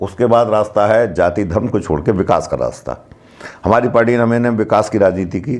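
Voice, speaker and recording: With fairly even intonation, a man talks at a medium pitch amid noticeable background noise. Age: 60s. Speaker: local party politician. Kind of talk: interview.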